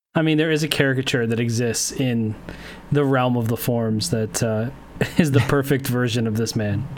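A man keeps his intonation fairly even while noticeable noise sounds behind him. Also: medium pitch for a man, moderate pace. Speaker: sports podcast co-host. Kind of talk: casual chat.

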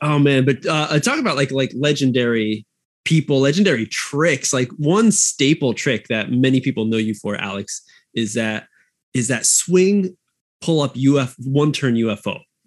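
An ordinary speaking voice from a man, medium in pitch, with lively intonation and a moderate pace. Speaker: podcast co-host. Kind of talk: casual chat. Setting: remote call. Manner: excitable.

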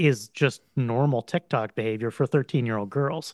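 This man has an unremarkable speaking voice with an American accent, a medium pitch and a moderate pace. The recording is very clean with a silent background, and the sound is dry and close with no echo. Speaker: guest. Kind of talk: casual conversation.

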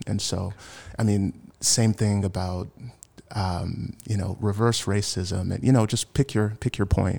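In a very clean recording over a silent background, a man with a Mid-Atlantic American accent talks at a fairly slow pace in a fairly low pitch, his tone dark and mellow and his intonation fairly even. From Washington, D.C. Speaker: church member, race cohort participant. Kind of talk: casual chat.

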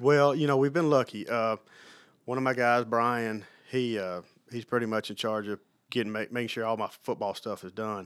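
A man speaks in an Alabama accent with fairly even intonation. The recording is very clean, with a silent background. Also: medium pitch for a man, moderate pace. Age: 40s. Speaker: sports turf manager. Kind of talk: casual interview. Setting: on campus, recorded on the road.

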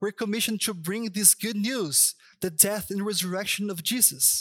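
The man's voice sits high and carries a Brazilian Portuguese accent. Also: very clean recording, silent background. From Brazil, Sao Paulo. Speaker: pastor. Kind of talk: sermon. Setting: church stage.

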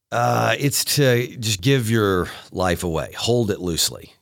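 On a very clean recording with a silent background, a man with a Tennessee accent speaks with vocal fry and lively intonation. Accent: Southern US (Tennessee). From East Tennessee (Chattanooga). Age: 30s. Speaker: county mayor. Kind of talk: interview.

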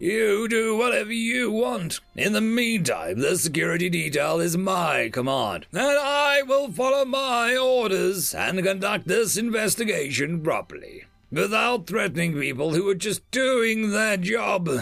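A man in a put-on character voice, high-pitched with a fairly bright tone and vocal fry, lively intonation, a fairly slow pace and few pauses, faint music in the background

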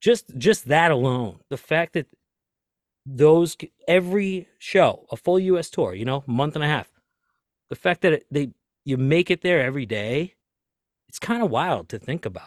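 In a Boston accent, a man speaks at a moderate pace with lively intonation and long, frequent pauses, the sound dry and close with no echo. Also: fairly high pitch for a man. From US Northeast, Lynn, Massachusetts (Boston area). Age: 30s. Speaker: tour manager and podcaster. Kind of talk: casual chat.

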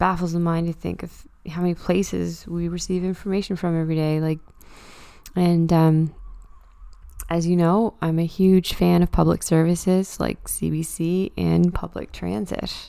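This woman speaks with a Canadian Maritime accent, her pitch fairly low and her tone dark and mellow. Her delivery is monotone, with flat intonation. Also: moderate pace. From Nova Scotia, Canada (Truro). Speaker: podcast host. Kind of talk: casual solo monologue. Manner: casual, halting with fillers.

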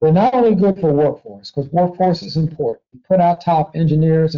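A man speaks in a plain, everyday voice. His pace is moderate, with ordinary pitch variation. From Washington, D.C. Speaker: university research vice president. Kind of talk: interview.

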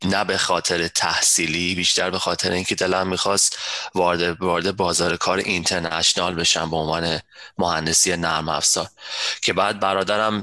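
A man with a very deep, low voice speaks in a flat monotone at very even loudness. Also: moderate pace. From Iran. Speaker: software systems architect. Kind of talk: interview.

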